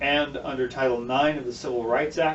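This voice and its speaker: Amid noticeable background noise, a man speaks at a moderate pace and medium pitch in a flat, monotone intonation. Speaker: political candidate. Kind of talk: explainer video.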